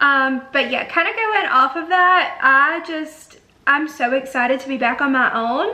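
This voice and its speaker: In an Alabama accent, a woman projects a raised, high-pitched voice with a bright, sharp tone. Her intonation is lively, and the room echo is audible. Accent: Southern US (Alabama). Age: 20s. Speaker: beauty YouTuber. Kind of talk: casual chat. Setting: home bedroom. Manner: chatty, filler-heavy.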